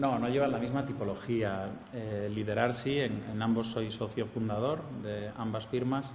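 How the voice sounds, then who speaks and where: A man with a strong Spanish accent speaks at medium pitch and a fairly slow pace. His intonation is fairly even, and the room echo is audible. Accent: Spanish accent, strong, easily identifiable. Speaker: architect and professor. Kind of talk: interview.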